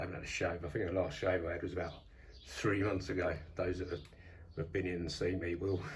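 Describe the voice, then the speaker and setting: Very fast, somewhat breathy speech in an English accent, with monotone, flat intonation, long, frequent pauses and audible room echo. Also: man, very deep, low pitch for a man. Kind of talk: casual vlog. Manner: hesitant, many fillers.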